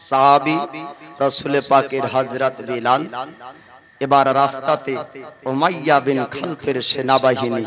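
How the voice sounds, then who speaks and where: Against noticeable background noise, a man talks at a medium pitch. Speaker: Islamic preacher giving a sermon. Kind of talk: religious sermon (waz) on the life of the Prophet, delivered to a live audience. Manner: animated, emphatic, call-and-response with the crowd.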